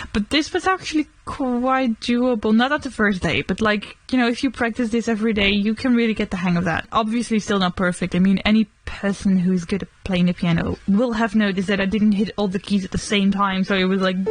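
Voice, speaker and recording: With a Dutch accent, a woman talks fairly quickly at a medium pitch and ordinary pitch variation, hardly pausing, over noticeable background noise. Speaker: vlogger. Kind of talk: casual chat. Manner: casual.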